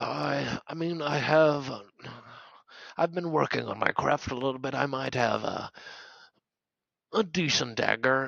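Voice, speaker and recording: Using a put-on character voice, a man speaks at a moderate pace with long, frequent pauses. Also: medium pitch for a man. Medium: actual play. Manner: hesitant, halting.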